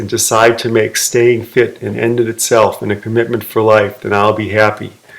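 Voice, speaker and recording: Noticeable background noise behind a voice with an American accent. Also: man. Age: 60s. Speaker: fitness video maker. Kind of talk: personal vlog monologue.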